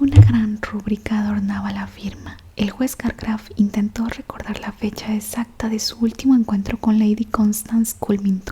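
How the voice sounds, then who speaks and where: A woman talks with hardly any pauses, a fairly high pitch and monotone, flat intonation. Her loudness swings widely, over noticeable background noise. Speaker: ASMR audiobook reader. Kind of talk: whispered audiobook reading of a novel. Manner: whispered, soft, slow.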